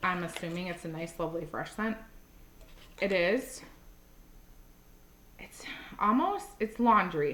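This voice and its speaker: A woman's medium-pitched voice with ordinary pitch variation, big swings in loudness, a fairly slow pace and long, frequent pauses, set against noticeable background noise and audible room echo. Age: 40s. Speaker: wax melt reviewer. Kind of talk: casual vlog chat. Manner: animated.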